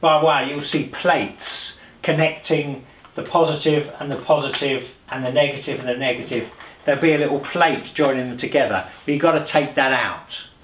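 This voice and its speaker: A man at a moderate pace with fairly even intonation, audible room echo and light background noise. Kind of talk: tutorial. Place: home room.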